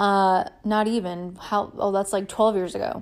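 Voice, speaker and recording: In a very clean recording with a silent background, a woman speaks at a fairly slow pace with fairly even intonation. She has an ordinary speaking voice at a medium pitch. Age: 30s. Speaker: podcast host. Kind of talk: motivational monologue. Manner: casual, conversational.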